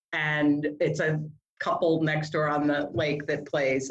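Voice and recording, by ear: With audible room echo around her, a woman with an American accent speaks slowly at a low pitch.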